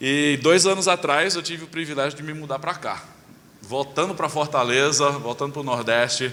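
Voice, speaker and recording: A man talks at a moderate pace with a fairly high pitch and ordinary pitch variation. Noticeable background noise runs behind him. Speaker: pastor. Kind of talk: sermon. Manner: hesitant fillers.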